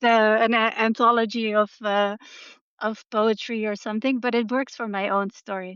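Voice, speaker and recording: A woman speaks with a Dutch accent at a moderate pace. Her fairly high pitch stays monotone and flat. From Netherlands. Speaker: artist and novelist. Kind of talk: interview.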